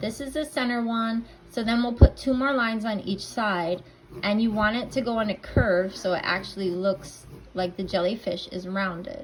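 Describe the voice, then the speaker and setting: A woman with a fairly high pitch and a somewhat breathy voice talks at moderate speed, her pitch varying in an ordinary way. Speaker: painting instructor. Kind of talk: tutorial. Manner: casual, conversational.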